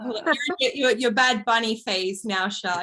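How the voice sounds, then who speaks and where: At a moderate pace, a woman speaks in a fairly high voice with an Australian accent. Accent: regional Australian. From regional Australia. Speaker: podcast co-host. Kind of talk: casual chat.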